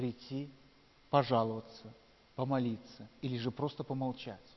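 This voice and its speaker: Intonation stays fairly even as a man speaks in a medium pitch. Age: 40s. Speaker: pastor. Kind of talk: sermon.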